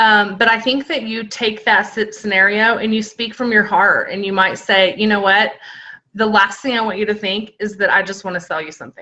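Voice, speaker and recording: A woman's fairly high, bright and sharp voice at a fairly quick pace. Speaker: network marketing team leader. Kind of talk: video call talk and Q&A. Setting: video call.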